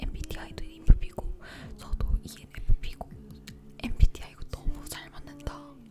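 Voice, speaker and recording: Noticeable background noise sits under a woman whispering at a moderate pace. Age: 20s. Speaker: YouTuber. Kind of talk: casual talk to camera about relationships, ASMR-style chat. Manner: soft, intimate, chatty.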